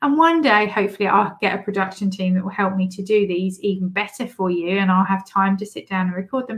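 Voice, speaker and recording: This woman speaks at a medium pitch with a British accent, sounding animated and upbeat, somewhat breathy, with ordinary pitch variation. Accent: British English, noticeable. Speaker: podcast host and business coach. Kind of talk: solo podcast monologue, tips episode. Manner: animated, upbeat, laughs often.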